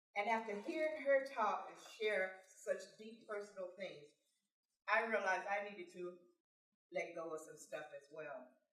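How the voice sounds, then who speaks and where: With audible room echo, a woman speaks fairly slowly, her intonation lively and her loudness swinging widely. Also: medium pitch for a woman. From California, born in Texas. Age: 60s. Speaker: motivational speaker. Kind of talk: personal testimony speech.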